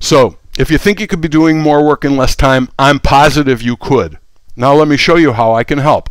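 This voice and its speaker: Here a man speaks at a moderate pace in an unremarkable speaking voice, fairly high in pitch. His pitch varies in an ordinary way and his loudness stays very even. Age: 60s. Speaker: tech educator. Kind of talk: sales pitch. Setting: live stream. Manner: casual, with frequent fillers and restarts.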